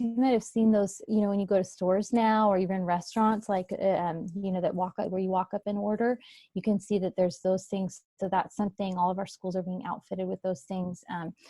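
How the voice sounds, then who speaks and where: On a very clean recording with a silent background and a dry, close sound with no echo, a woman speaks at a fairly quick pace and medium pitch in a somewhat breathy, dark, mellow tone. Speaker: school district representative. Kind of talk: presentation at virtual meeting. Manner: fast.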